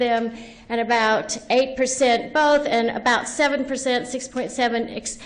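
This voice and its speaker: A woman's high voice at a moderate pace, fairly even in intonation, with audible room echo. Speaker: education professor and researcher. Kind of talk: lecture.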